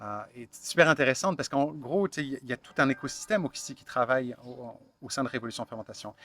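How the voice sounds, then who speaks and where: A man with a Quebec accent speaks very fast, his loudness swinging widely and his pitch varying in an ordinary way. The sound is dry and close with no echo, and music plays in the background. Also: medium pitch for a man. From France, Burgundy. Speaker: founder of online fermentation supply shop. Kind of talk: interview. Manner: halting, many fillers.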